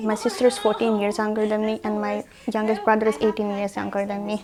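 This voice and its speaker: Noticeable background noise runs through the clip. A woman is heard at a fairly high pitch. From India (born in Russia, moved at nine). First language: Russian. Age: 20s. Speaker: recent graduate and designer. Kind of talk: casual interview monologue.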